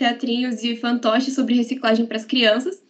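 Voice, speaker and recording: A woman talks at a fairly quick pace in a high voice. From Paraná, Brazil (Guarapuava). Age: 20s. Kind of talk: podcast interview.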